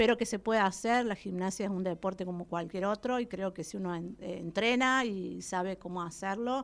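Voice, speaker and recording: A woman uses a normal speaking voice at a medium pitch and a fairly quick pace. Her intonation stays fairly even on a very clean recording with a silent background. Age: 40s. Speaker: gymnast and coach. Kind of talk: radio interview. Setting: radio studio.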